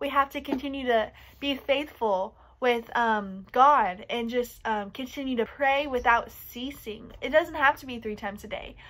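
A woman's high-pitched voice, bright and sharp in tone, at a moderate pace. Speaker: youth storyteller. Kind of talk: children's story reading and lesson. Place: home room. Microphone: phone near.

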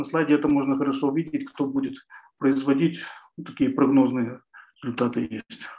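A man with a dark, mellow tone talks at a fairly quick pace and fairly even intonation. He leaves long, frequent pauses. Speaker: researcher. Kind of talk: presentation. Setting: video call. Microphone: webcam.

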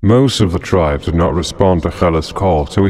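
A man speaks fairly quickly in a very deep, low voice with lively intonation and a solemn, dramatic tone. Noticeable background noise runs underneath. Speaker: narrator of Islamic history. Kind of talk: dramatic narration of history, scripted. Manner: solemn, dramatic, measured storytelling pace.

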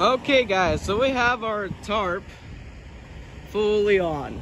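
Light background noise sits behind a man whose voice comes through dry, with no echo. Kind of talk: casual tutorial vlog. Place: street.

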